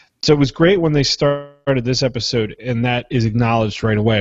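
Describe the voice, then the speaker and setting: With a Philadelphia accent, a man speaks at a moderate pace and with ordinary pitch variation. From Philadelphia, US. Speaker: podcast co-host. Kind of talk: casual chat.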